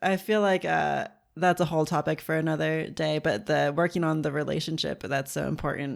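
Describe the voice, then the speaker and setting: In a very clean recording with a silent background, a woman with an American accent talks at a fairly quick pace in a very deep, low pitch with vocal fry. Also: ordinary pitch variation. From suburban United States. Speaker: podcast host. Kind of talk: casual chat; scripted outro.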